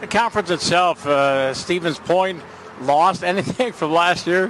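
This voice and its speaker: A man with an American accent, high-pitched, at a fairly slow pace, with ordinary pitch variation, very even loudness and noticeable background noise. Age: 60s. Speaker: sports broadcaster. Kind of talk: broadcast announcing; radio sports interview.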